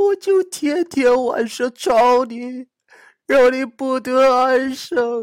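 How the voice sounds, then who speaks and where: A female-sounding voice does a put-on character voice at a high pitch. The delivery is very slow. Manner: fake crying.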